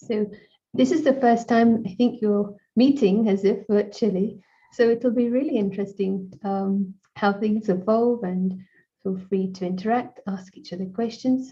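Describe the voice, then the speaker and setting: Somewhat breathy, a woman talks at a fairly slow pace in a fairly high voice. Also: ordinary pitch variation. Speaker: meditation session host. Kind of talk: online talk moderation. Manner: hesitant, many fillers.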